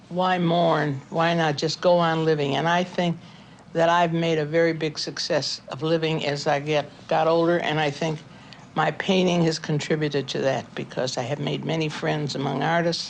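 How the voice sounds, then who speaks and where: A woman with a very deep, low pitch speaks in an American accent at a moderate pace, her intonation monotone and flat, with noticeable background noise. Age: 80s+. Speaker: painter. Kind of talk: documentary interview.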